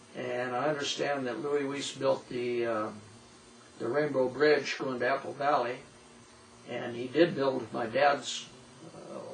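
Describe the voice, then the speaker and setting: Speaking with an American accent in a flat monotone at a fairly slow pace, this voice leaves long, frequent pauses amid noticeable background noise and audible room echo. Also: man, medium pitch for a man. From Southern California (High Desert). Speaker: local old-timer interviewee. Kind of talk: oral history interview.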